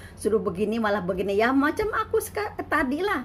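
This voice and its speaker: Amid noticeable background noise, a woman speaks at a fairly quick pace and fairly high pitch with lively intonation. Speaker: migrant domestic worker and vlogger. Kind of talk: casual vlog monologue.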